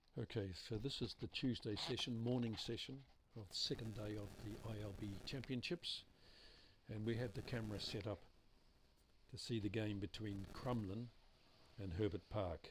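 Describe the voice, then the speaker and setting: A man speaks with a New Zealand accent at a moderate pace, his fairly low voice somewhat breathy, with ordinary pitch variation and long, frequent pauses. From New Zealand, Hamilton. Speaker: bowls commentator. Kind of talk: live commentary. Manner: sparse, limited talking.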